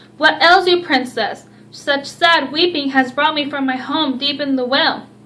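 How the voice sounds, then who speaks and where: In a put-on character voice, a woman talks at a moderate pace, high-pitched and croaky. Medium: read story.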